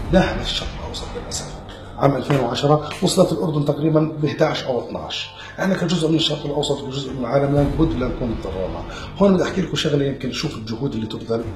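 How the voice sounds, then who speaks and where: A fairly high-pitched man talking very fast with ordinary pitch variation, amid audible room echo and noticeable background noise. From Jordan. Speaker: anti-drug awareness speaker. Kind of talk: awareness talk.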